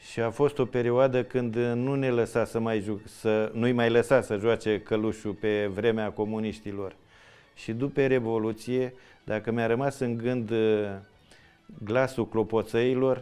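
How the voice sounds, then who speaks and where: The man's voice has a dark, mellow tone and sits at a medium pitch. He talks at a fairly slow pace with monotone, flat intonation. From Romania, Oltenia (Dolj county). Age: 60s. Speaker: traditional folk dancer. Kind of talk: interview storytelling. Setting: village museum. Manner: halting.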